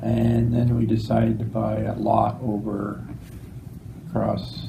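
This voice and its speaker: A man with an Ontario accent at a very slow pace, amid audible room echo and noticeable background noise. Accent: Canadian (Ontario). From Ontario, Claremont area. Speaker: farmer. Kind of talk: oral history interview. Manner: halting, many fillers.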